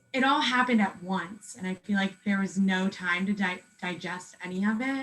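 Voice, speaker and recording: With ordinary pitch variation, a woman talks rather slowly in a somewhat breathy voice. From Pennsylvania, USA. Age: 20s. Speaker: cancer patient. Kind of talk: interview answer. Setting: video call.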